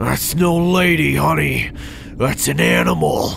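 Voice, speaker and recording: There is clear background noise. A man speaks at a fairly slow pace. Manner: condescending, callous, taunting.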